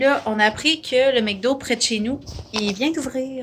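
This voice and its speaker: A woman with a Quebec accent sounds somewhat breathy, her pitch varying in an ordinary way. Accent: Québécois French. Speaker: vlogger. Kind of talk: casual vlog chat.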